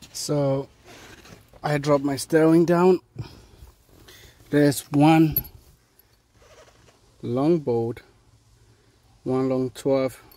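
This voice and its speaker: A man speaks in a West African accent. His intonation stays fairly even. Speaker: auto mechanic. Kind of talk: tutorial. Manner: casual, hesitant with fillers.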